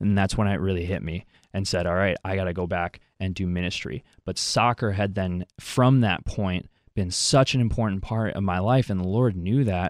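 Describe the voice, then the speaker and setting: A man's voice sits extremely low and deep, with little else heard in the quiet surroundings. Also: ordinary pitch variation, moderate pace. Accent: American. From Wisconsin, US. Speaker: former college athlete, youth minister. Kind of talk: radio interview.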